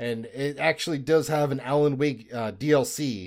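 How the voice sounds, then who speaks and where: Recorded very cleanly against a silent background, a man's unremarkable speaking voice stays at a medium pitch, varying in an ordinary way. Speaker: podcast co-host. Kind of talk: casual chat.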